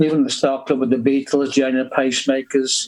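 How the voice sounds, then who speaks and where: A man talks at a fairly quick pace with a Liverpool accent and a fairly high pitch. His intonation is monotone and flat. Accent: Liverpool (Scouse). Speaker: rock musician. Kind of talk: interview.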